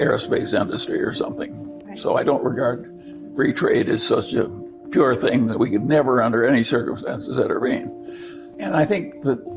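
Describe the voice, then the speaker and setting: The speaker, with an American accent, keeps a moderate pace with hardly any pauses. Music plays in the background. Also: man. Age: 80s+. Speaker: business executive. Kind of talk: interview answer.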